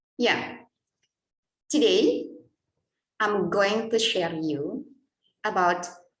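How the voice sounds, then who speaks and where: A woman speaks with an Indonesian accent. Audible room echo surrounds her voice. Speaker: English lecturer. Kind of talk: conference presentation.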